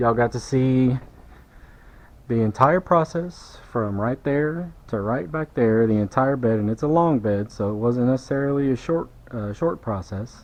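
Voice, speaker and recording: A man with a Southern US accent speaks at a medium pitch and a moderate pace, with ordinary pitch variation. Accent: US South. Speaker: car detailer. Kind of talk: tutorial. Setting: workshop. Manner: casual.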